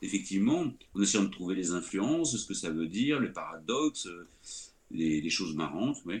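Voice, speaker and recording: The speaker goes at a moderate pace with very wide swings in pitch. Long pauses come often. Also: man, fairly low pitch for a man. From France. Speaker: screenwriter. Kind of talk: interview. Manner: halting.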